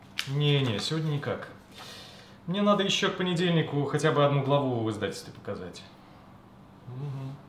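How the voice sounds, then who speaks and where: Over light background noise and with audible room echo, a man speaks at a fairly quick pace. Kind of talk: phone conversation in a drama scene. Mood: busy, turning down an invitation. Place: home room.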